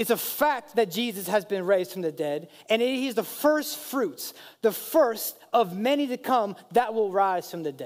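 A man's high-pitched, animated voice with lively intonation at a moderate pace. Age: 30s. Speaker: pastor. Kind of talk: sermon.

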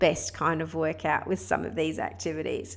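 Speaking at a medium tempo, a woman has an Australian accent. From Australia (Sydney). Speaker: podcast host and women's fitness coach. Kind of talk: solo podcast monologue with tips.

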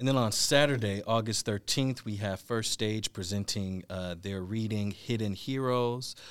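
On a very clean recording with a silent background, a man with a plain, everyday voice and an American accent talks at a moderate pace with hardly any pauses, his fairly low pitch held to fairly even intonation. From Milwaukee, Wisconsin. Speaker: actor and director. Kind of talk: casual chat.

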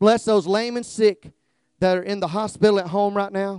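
In a Southern US accent, a man speaks at a high pitch, the sound dry and close with no echo. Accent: Southern drawl. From US South, South Georgia. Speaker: guest preacher, former police officer. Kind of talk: fervent revival-style altar call and closing prayer, call-and-response. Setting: church with congregation, streamed live. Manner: drawling, slow; loud, rousing crescendo urging the congregation to clap and shout.

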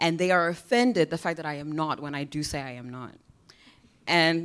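Very cleanly recorded over a silent background, a woman with a plain, everyday voice talks at a fairly quick pace, fairly low in pitch with ordinary pitch variation. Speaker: audience member asking a question. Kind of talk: asking a question.

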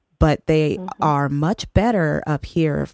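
A woman's very deep, low voice, with ordinary pitch variation, sounds dry and close with no echo. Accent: American. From Texas, El Paso. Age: 30s. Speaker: community organizer. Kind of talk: casual chat.

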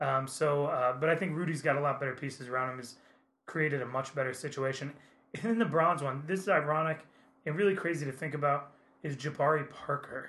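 This man has an American accent and a fairly high pitch, with ordinary pitch variation. His tone is bright and sharp, and he talks at a fairly quick pace. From US Midwest, Indiana. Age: 30s. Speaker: sports podcast co-host. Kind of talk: casual chat. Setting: studio.

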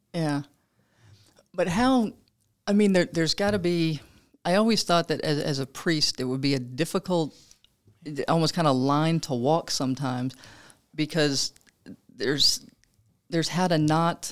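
The speaker keeps a moderate pace, broken by long, frequent pauses. The recording is very clean, with a silent background. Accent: Louisiana. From Louisiana. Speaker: podcast host. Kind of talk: casual interview. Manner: chatty, laughing often.

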